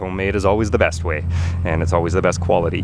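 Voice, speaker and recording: This is a man's voice with a dry sound and no echo. Light background noise is present. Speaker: van life vlogger. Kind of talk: casual vlog chat. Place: open country. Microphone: phone near.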